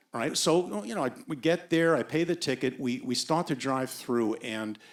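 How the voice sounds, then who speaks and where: Speaking at a moderate pace, a man with a fairly high pitch uses lively intonation in a normal speaking voice. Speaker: storyteller and voice actor. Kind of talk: live storytelling, personal anecdote. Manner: comedic, self-deprecating.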